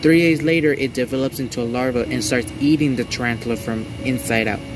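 With music in the background, a man speaks at a moderate pace with ordinary pitch variation in a dry sound with no echo. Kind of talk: casual vlog chat. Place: garden. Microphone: camera far.

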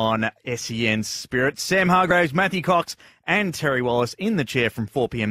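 Medium-pitched male voice with a bright, sharp tone and lively intonation at a moderate pace, dry with no echo over a quiet background. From Australia. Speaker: radio presenter. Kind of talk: radio announcing between songs. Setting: studio. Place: studio. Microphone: studio mic.

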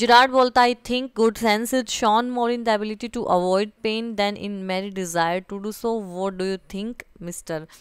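On a very clean recording with a silent background, a woman with an unremarkable speaking voice speaks at a moderate pace with fairly even intonation. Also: fairly high pitch for a woman. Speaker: teacher. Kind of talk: lecture.

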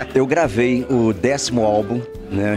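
Clear music plays in the background. The speaker's intonation is fairly even. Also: man. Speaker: guest. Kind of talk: interview answer. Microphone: handheld.

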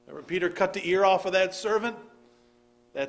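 Fairly quick, high-pitched male speech with fairly even intonation. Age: 40s. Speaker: pastor. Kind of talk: sermon. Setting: church service with congregation. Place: church. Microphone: podium.

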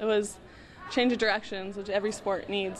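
Speaking at a fairly quick pace, a woman has a fairly high pitch and an American accent. Audible room echo surrounds her voice. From Southern California. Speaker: college volleyball player. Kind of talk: interview. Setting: athletic training center. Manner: casual.

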